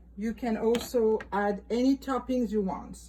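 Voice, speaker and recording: Her voice is fairly high-pitched, and this woman speaks with a French accent. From France, Île de Ré. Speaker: former restaurant owner. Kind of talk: cooking tutorial. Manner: casual, with hesitations.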